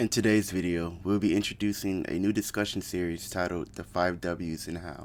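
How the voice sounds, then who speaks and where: Here a man speaks with a very deep, low voice and fairly even intonation. His pace is moderate, with hardly any pauses. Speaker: anime commentary YouTuber. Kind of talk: anime lore explainer narration.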